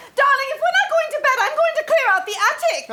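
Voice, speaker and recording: A woman's squeaky put-on character voice, extremely high in pitch, fairly quick, with very wide pitch swings. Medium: stage play.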